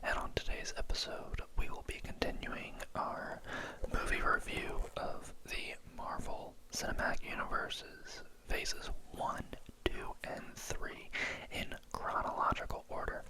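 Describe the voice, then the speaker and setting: A man's whisper at a fairly slow pace, with noticeable background noise. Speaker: ASMR movie reviewer. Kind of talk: movie review talking to camera. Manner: whispered, soft-spoken.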